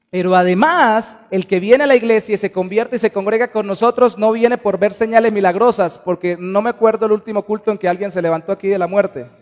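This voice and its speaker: A man's high voice at a very fast pace with hardly any pauses, dry and close with no echo, over noticeable background noise. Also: ordinary pitch variation. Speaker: pastor. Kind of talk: sermon. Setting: church.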